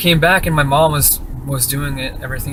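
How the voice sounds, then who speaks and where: A man talks at a very fast pace, with noticeable background noise and audible room echo. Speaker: vlogger. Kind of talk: casual vlog monologue. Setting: in a car.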